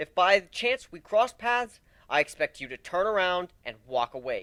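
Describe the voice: Using a put-on character voice, a man speaks at a moderate pace in a high, bright, sharp tone with big pitch swings.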